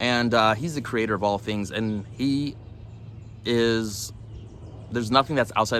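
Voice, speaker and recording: A man's medium-pitched, bright, sharp voice at a moderate pace, with ordinary pitch variation and a Californian accent. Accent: Californian American English. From Los Angeles, US. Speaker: religious vlogger. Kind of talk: religious vlog monologue. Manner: halting, many fillers.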